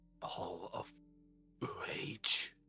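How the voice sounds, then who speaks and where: A man puts on a raspy character voice. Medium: actual play. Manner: earnest, troubled.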